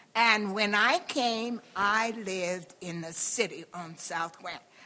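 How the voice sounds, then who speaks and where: A woman's voice over noticeable background noise. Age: 80s+. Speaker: university alumna. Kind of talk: reunion panel testimony.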